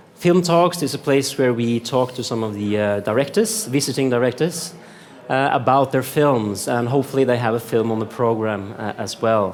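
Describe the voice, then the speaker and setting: With a Norwegian accent, the speaker talks at a moderate pace over noticeable background noise. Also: man, medium pitch for a man, ordinary pitch variation. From Norway. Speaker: film journalist, interviewer. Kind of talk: interview. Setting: cultural centre at a film festival. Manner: hesitant, many uh fillers.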